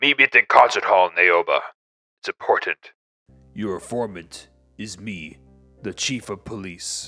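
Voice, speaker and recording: Doing a put-on character voice, a man with a fairly low pitch talks at a moderate pace with ordinary pitch variation, big swings in loudness and long, frequent pauses, in a dry, close recording with no echo and faint music in the background. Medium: read story.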